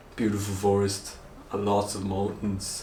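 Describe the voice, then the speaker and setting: In a room with audible echo, a man speaks very slowly at a fairly low pitch. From Austria, Vorarlberg. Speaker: vlogger. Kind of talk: casual chat.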